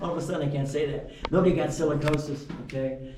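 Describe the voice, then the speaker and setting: Against light background noise and audible room echo, a man talks at a fairly high pitch with fairly even intonation. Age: 70s. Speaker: mine tour guide. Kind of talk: guided tour talk. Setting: underground mine with tour group. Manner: casual, conversational. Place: tunnel cave. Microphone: camera far.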